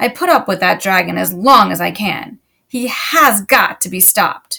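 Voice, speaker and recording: Growling in a put-on character voice, the speaker keeps a moderate pace. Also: woman, medium pitch for a woman. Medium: read story.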